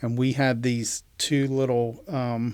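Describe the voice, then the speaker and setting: With an American accent, a man speaks in a monotone with flat intonation. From West Virginia, Appalachian mountains. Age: 60s. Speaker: entrepreneur, inventor. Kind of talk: interview conversation. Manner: halting, many fillers.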